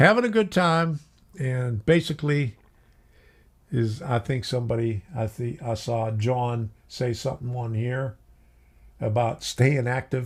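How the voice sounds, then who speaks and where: A somewhat breathy man's voice at medium pitch, with ordinary pitch variation and long, frequent pauses, on a very clean recording with a silent background. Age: 70s. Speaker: model railroad youtuber. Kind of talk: live stream casual chat. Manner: halting.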